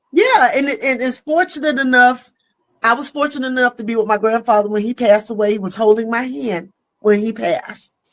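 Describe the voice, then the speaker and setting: With a Southern accent, a woman talks at a fairly quick pace in an animated tone, at a fairly high pitch with ordinary pitch variation. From US South. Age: 50s. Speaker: comedian. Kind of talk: casual chat. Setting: live stream.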